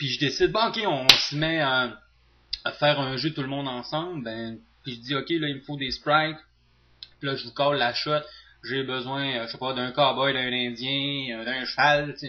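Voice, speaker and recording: Over noticeable background noise, a man with a Saguenay accent speaks at a moderate pace and a fairly high pitch, with big swings in loudness. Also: ordinary pitch variation. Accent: Saguenay Quebec French. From Quebec, Saguenay. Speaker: teacher and video game tutorial youtuber. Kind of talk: casual talk to viewers. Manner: hesitant, many fillers.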